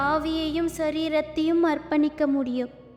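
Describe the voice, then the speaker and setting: A soft-spoken woman talks in a high voice with a soothing tone and monotone, flat intonation. Music plays in the background. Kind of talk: prayer. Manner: whispered; soft, soothing.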